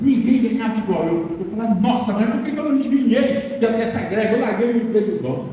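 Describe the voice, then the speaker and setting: A man with a high pitch talks through noticeable background noise and audible room echo. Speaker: preacher. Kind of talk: sermon.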